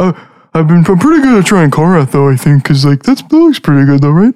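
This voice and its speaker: A put-on character voice at a middle pitch and a very fast pace. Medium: actual play. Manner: hesitant, filler-heavy, enthusiastic.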